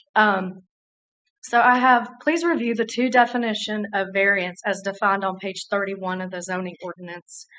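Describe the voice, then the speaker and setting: A woman's bright, sharp tone with an American accent and ordinary pitch variation, over a quiet background. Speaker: resident speaking in opposition. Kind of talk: public hearing testimony. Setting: city council public hearing.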